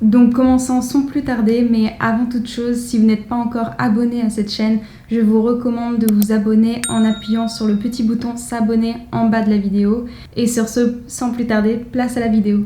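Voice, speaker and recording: With a fairly high pitch and monotone, flat intonation, a woman speaks at a moderate pace. Noticeable background noise and audible room echo fill the recording. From France. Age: 20s. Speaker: fashion vlogger. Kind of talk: casual vlog.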